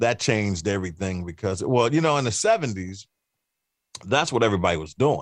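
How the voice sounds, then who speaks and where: A plain, everyday voice with an American accent moves at a fairly quick pace. The intonation is lively over a quiet background. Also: man, fairly low pitch for a man. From Cleveland, Ohio. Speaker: radio host and musician. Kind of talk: casual interview chat.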